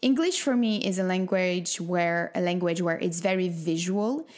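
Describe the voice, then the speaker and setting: In a French accent, the speaker goes at a fairly slow pace with ordinary pitch variation. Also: woman. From France. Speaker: wellness coach and podcast host. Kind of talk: solo podcast monologue.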